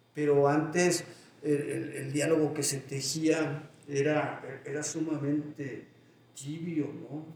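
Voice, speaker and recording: A man's fairly high-pitched voice with audible room echo. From Mexico, Guanajuato (León area). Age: 60s. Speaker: poet and writing teacher. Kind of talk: interview. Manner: halting, many repeated words.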